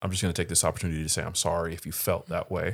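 A man is heard in a very clean recording where the background is silent. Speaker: podcast co-host. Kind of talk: casual chat.

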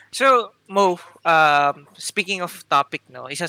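Recorded dry and close with no echo on a very clean track with a silent background, a man speaks in a bright, sharp tone. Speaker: podcast co-host.

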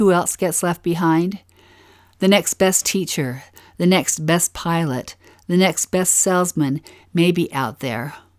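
Someone with a Utah accent speaks at a fairly slow pace with ordinary pitch variation, on a very clean recording with a silent background and a dry, close sound with no echo. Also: woman. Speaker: podcast co-host, scripture study. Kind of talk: scripted scripture-study narration.

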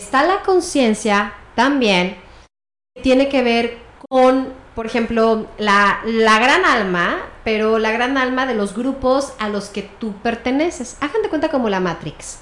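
The delivery is very slow in pace but lively in intonation. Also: woman, fairly high pitch for a woman. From Mexico City. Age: 40s. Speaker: family constellations therapist. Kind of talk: interview.

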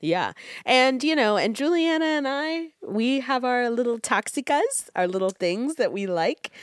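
A woman speaks at a high pitch with very wide swings, her tone animated and her pace fairly slow. The sound is dry and close, with no echo. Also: very clean recording, silent background. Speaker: podcast co-host. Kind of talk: casual chat.

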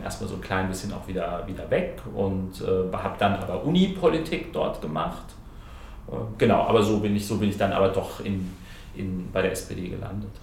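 A man speaks at a fairly low pitch. Noticeable background noise runs behind him. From Hesse, near Frankfurt. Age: 30s. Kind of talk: casual interview. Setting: parliament building. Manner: hesitant with fillers.

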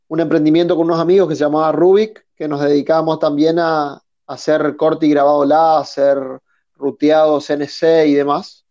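A man speaks at a fairly slow pace. His fairly high voice carries a dark, mellow tone. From northern Argentina (Resistencia, Chaco). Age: 30s. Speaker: industrial designer and woodworker. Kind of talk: casual interview chat.

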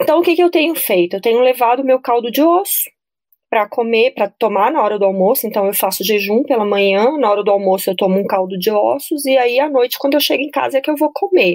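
A high-pitched woman's voice at a very fast pace, with lively intonation. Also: very even loudness. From Brasília, Brazil. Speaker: nutritionist. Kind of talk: casual interview chat.

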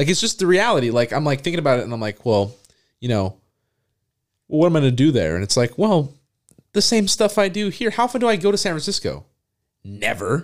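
On a very clean recording with a silent background, a man talks at a very fast pace with very wide pitch swings. He leaves long, frequent pauses. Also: fairly high pitch for a man. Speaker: podcast co-host. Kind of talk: casual chat.

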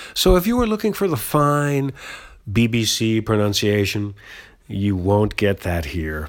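A man speaks with an American accent in a fairly low voice. His pace is fairly slow and his intonation lively. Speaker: podcast host. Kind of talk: casual solo podcast monologue, unscripted. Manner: animated, laughs often, chatty.

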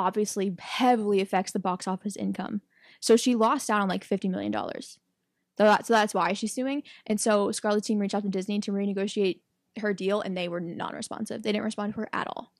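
This is an unremarkable speaking voice on a very clean recording with a silent background. The pace is fairly quick and the intonation fairly even. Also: woman. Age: 20s. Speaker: podcast co-host. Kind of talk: casual chat.

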